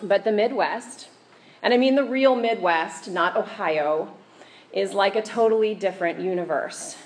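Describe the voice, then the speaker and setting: Amid noticeable background noise, a woman talks with lively intonation. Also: medium pitch for a woman, moderate pace. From Kansas. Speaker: preacher. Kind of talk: sermon. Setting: church.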